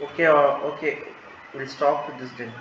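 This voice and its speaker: There is noticeable background noise and audible room echo as a man talks at a fairly high pitch. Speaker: medical lecturer. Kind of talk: lecture. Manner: fast; halting.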